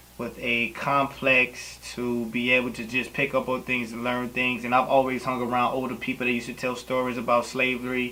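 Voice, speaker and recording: The voice has monotone, flat intonation. Noticeable background noise runs underneath. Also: man. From Louisiana. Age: 20s. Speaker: poet. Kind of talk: interview. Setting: on camera.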